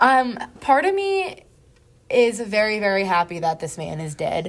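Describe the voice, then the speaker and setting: Her pitch is fairly high and swings very widely. The woman keeps a moderate pace. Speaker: podcast co-host. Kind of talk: casual chat. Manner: stuttering, halting; filler-heavy, many likes.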